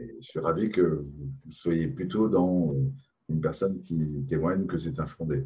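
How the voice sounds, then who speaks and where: A man's very deep, low voice with a dark, mellow tone, somewhat breathy, at a fairly slow pace. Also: ordinary pitch variation. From France. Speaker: talk show host. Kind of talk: live online talk show. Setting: video call.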